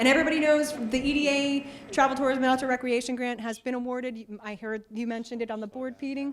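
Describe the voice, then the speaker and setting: A woman with an American accent and a high pitch at a very fast pace, hardly any pauses, fairly even intonation, big swings in loudness, and noticeable background noise. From New York. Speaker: town official. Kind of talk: public meeting report.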